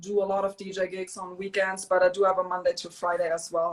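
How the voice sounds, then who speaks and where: In a German accent, a woman speaks at a fairly quick pace. Her pitch is medium. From Germany. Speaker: DJ and small business owner. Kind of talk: interview.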